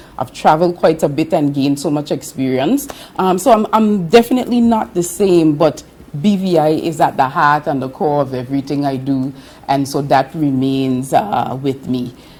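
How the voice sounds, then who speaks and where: With lively intonation, the voice moves at a moderate pace over noticeable background noise. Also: woman, very deep, low pitch for a woman. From British Virgin Islands (Virgin Gorda). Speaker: government official overseas. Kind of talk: interview.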